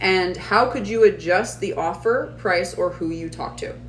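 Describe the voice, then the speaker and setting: A woman is heard with audible room echo. Noticeable background noise runs behind her. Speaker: online business coach. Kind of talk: live stream class. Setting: live stream. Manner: fast.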